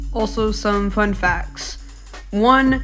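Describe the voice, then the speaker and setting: With music in the background, a woman talks, her pitch varying in an ordinary way. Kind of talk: commentary video narration. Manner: casual.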